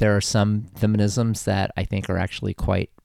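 Recorded very cleanly with a silent background, a man with an American accent speaks at a moderate pace, fairly low in pitch and with fairly even intonation. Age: 60s. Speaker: historian and retired gender studies professor. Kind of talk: interview. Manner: hesitant, many fillers.

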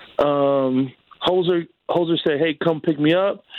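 Using a normal speaking voice, a man talks at a moderate pace. His pitch is fairly high. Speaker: friend of host, phone guest. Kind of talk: casual chat. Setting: phone call. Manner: slang-heavy, excitable.

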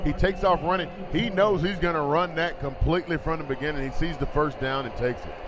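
A man with a fairly high pitch and an enthusiastic tone, talking at a very fast pace with hardly any pauses, ordinary pitch variation, and noticeable background noise. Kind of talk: radio color commentary, analyst chat with play-by-play partner. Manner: conversational, enthusiastic, explaining plays as he goes.

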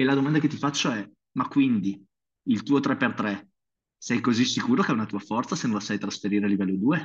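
Speaking at a fairly quick pace with long, frequent pauses, a man uses medium pitch and ordinary pitch variation. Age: 40s. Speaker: strength coach and physiotherapist. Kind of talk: interview. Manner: animated.

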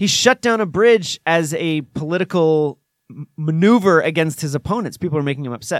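A man speaks fairly quickly with an unremarkable speaking voice. His voice is fairly high, with lively intonation. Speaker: sports podcast co-host. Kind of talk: casual banter podcast chat.

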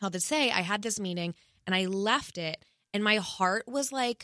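A woman with an ordinary speaking voice talks at a moderate pace with ordinary pitch variation, in a dry, close sound with no echo and a very clean recording over a silent background. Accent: American. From US East Coast. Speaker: podcast host. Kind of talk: casual chat. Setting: studio.

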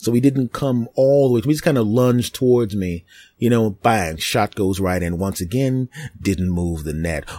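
In a Philadelphia accent, a man speaks at a medium pitch and moderate pace with a dark, mellow tone and lively intonation, on a very clean recording with a silent background. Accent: Philadelphia American. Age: 40s. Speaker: podcast host and comedian. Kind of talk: casual monologue. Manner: animated.

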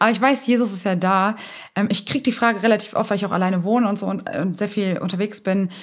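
Somewhat breathy and very fast, a woman speaks at medium pitch. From Germany, Hamburg. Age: 20s. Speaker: evangelist and entrepreneur. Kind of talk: interview.

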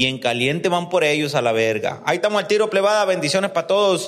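Ordinary pitch variation runs through the speech. The speaker is a man. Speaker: podcast host. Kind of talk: casual interview. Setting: recording on location in Guadalajara.

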